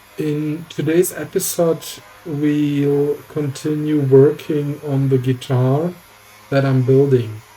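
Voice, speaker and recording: Music plays in the background as the speaker talks at a very slow pace with a non-native accent. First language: not English. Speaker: guitar builder, YouTuber. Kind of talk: voiceover narration for build tutorial. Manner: occasional hesitations.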